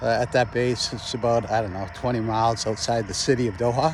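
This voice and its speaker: A man with a medium pitch speaks in monotone, flat intonation over noticeable background noise. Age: 60s. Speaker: retired army officer vlogger. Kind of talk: casual monologue. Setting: outdoors walking by a road. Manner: halting, many fillers.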